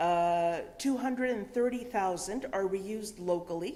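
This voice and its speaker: Moving at a fairly slow pace, a woman talks at a medium pitch. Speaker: conference speaker on reuse networks. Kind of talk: presentation. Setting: event with audience and interpreters. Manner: halting.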